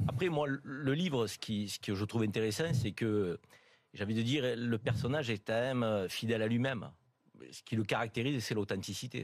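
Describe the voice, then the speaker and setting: In a Marseille accent, a man talks at a fairly quick pace and medium pitch. His pitch variation is ordinary, and the recording is very clean with a silent background. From Marseille, southern France. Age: 50s. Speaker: radio panelist. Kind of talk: talk radio panel discussion. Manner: halting, many hesitations.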